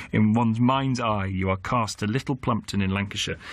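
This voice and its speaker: The pace is fairly quick and the intonation lively. The background is quiet. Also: man. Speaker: radio presenter. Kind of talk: radio phone-in introduction. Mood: conversational, lightly humorous. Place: studio.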